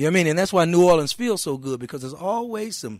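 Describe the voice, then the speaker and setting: A man with a Mississippi accent speaks with lively intonation. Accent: Southern US (Mississippi). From Mississippi (McComb). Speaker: blues musician. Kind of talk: casual chat. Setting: radio studio. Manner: animated.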